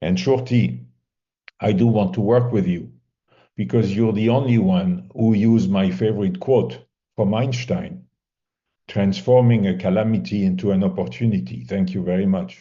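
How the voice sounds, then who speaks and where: A man talks in a French accent, with audible room echo. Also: fairly low pitch for a man, lively intonation, moderate pace. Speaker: mediation competition assessor. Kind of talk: feedback to competitors. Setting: video call.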